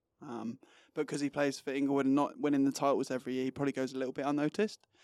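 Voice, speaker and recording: Spoken at a very fast pace in an English accent, the delivery is monotone and flat. The recording is very clean with a silent background and a dry, close sound without echo. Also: man. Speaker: footballer. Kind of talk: casual interview. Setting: studio.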